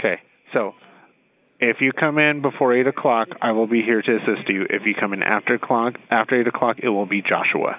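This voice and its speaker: Speaking in an unremarkable speaking voice, a man holds a medium pitch with fairly even intonation and very even loudness. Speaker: store employee, call recipient. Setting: phone call.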